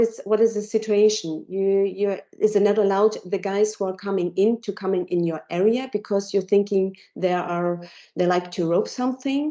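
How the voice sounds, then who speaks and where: With a German accent, the speaker keeps a moderate pace and fairly even intonation. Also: woman. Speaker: technology company presenter. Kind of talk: Q&A after a presentation. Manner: halting. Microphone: cutting out.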